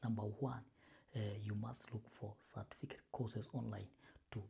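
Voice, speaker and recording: The speaker has a Kenyan accent. The pace is fairly slow. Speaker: YouTuber giving job advice. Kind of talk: informal advice talk to camera. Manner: halting, many fillers and repetitions.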